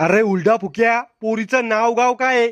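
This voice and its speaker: Putting on a gruff character voice, a man speaks at an extremely high pitch, a fairly slow pace and fairly even intonation. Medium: cartoon. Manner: gruff, blunt, insulting.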